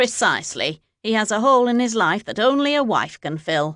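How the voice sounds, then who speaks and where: In a put-on character voice, a female-sounding speaker uses a fairly high pitch at a moderate pace against a quiet background. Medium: read story. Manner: stiff, clipped.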